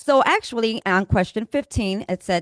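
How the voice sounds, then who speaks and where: A woman with a Spanish accent, lively intonation and a moderate pace, in a dry, close sound with no echo. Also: quiet background. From Puerto Rico. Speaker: county recovery coordinator. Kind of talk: community meeting presentation. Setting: library meeting room.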